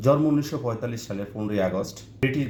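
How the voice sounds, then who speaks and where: A man's somewhat breathy voice with lively intonation. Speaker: online video narrator. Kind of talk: memorial tribute monologue.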